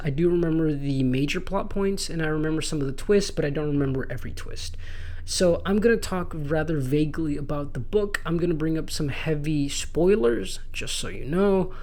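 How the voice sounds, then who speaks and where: At a moderate pace, a man with fairly high pitch speaks with hardly any pauses and ordinary pitch variation. Noticeable background noise and audible room echo are present. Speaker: book reviewer. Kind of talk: casual monologue. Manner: stumbling over words.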